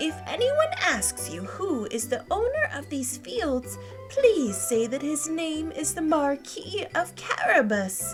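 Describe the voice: Over clear background music, a put-on character voice moves slowly with big pitch swings. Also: woman, high pitch for a woman.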